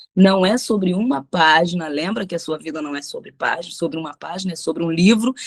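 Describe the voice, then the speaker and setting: Her voice fairly low, a woman talks at a fairly quick pace with hardly any pauses, an animated tone, ordinary pitch variation and big swings in loudness. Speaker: pastor. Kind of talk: bible study teaching.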